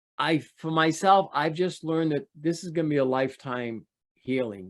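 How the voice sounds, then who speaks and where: Ordinary pitch variation and a moderate pace from an unremarkable speaking voice. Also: man. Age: 60s. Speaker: sex abuse survivor telling his story. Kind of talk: interview testimony. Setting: video call.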